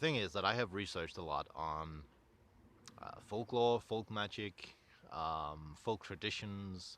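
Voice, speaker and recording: In a Danish accent, a man with fairly low pitch talks in a bright, sharp tone with lively intonation. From Denmark, North Jutland. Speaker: content creator, folklore researcher. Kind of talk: casual vlog monologue. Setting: outdoors. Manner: halting.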